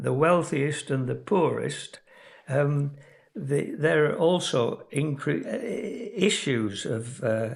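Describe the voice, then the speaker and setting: A man with a fairly high voice and vocal fry speaks very slowly with lively intonation. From Yorkshire, England. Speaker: emeritus professor of geography, climate scientist. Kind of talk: educational lecture podcast.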